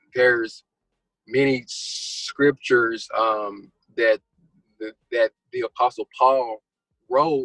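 Very slowly and with long, frequent pauses, a man in a Texan accent speaks in a dry, close sound with no echo. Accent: Texan American. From Texas. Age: 20s. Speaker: guest sharing religious testimony. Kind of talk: testimony. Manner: halting, many fillers and repetitions.

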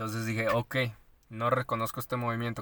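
A man's medium-pitched, bright and sharp voice with a Mexican accent, at a fairly quick pace. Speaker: podcast co-host. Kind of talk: casual chat.

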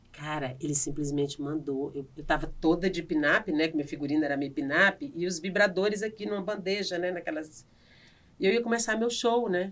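A woman with a strong northeastern Brazilian accent, fairly low in pitch, with lively intonation at a moderate pace. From Brazilian Northeast, Piauí. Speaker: comedian and actress. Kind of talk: casual interview chat. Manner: animated.

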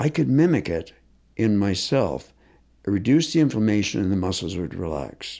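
On a very clean recording with a silent background, a man with a fairly low pitch and a dark, mellow tone makes very wide pitch swings. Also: moderate pace. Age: 60s. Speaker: concussion expert and physiotherapist. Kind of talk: interview.

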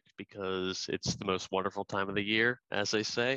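The man's tone is bright and sharp, his pace moderate. The sound is dry and close with no echo, over a quiet background. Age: 20s. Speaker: podcast co-host. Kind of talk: casual chat.

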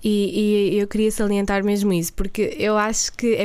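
A woman speaks at a fairly quick pace, her pitch fairly high. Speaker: podcast co-host. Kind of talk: casual chat. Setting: studio.

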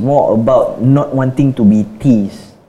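A man's fairly high-pitched voice with ordinary pitch variation, amid noticeable background noise. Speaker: podcast co-host. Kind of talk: casual chat.

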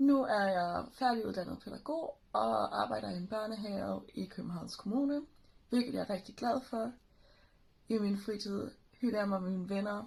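A somewhat breathy voice moves at a fairly slow pace with ordinary pitch variation. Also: woman, medium pitch for a woman. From Sylt and Flensburg, Germany (Danish minority). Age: 20s. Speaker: kindergarten teacher. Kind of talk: interview.

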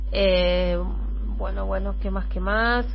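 A woman speaks with a very deep, low pitch and monotone, flat intonation. There is audible room echo and noticeable background noise. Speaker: radio host. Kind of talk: radio interview.

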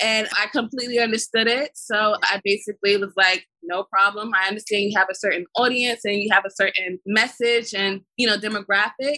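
An American accent at a fairly quick pace, hardly any pauses, fairly even intonation, in a dry, close sound with no echo. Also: woman, fairly high pitch for a woman. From Brooklyn, New York. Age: 20s. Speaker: film production company founder. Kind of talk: interview. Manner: halting.

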